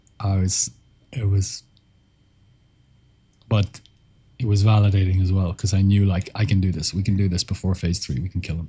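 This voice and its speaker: A calm, relaxed, somewhat breathy delivery with a dark, mellow tone, fairly even intonation and long, frequent pauses. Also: man, very deep, low pitch for a man, moderate pace. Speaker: streamer answering chat.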